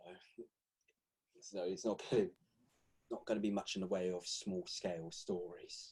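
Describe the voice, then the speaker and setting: With a British accent, a man talks at a moderate pace, leaving long, frequent pauses. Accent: non-American, British. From Britain. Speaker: podcast host. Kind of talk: casual chat.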